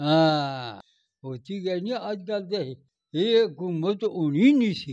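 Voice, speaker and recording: A man's voice with lively intonation over a quiet background. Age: 80s+. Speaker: centenarian farmer. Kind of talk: interview.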